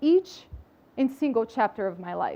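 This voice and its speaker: A woman speaks with a Brazilian accent. Her pitch swings very widely. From Brazil, outskirts of São Paulo. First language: Portuguese. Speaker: public health professional and speaker. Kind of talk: inspirational talk.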